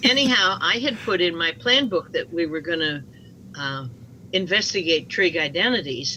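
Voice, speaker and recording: A woman's fairly low voice at a moderate pace, with very wide pitch swings and noticeable background noise. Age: 80s+. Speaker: math teacher. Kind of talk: interview storytelling.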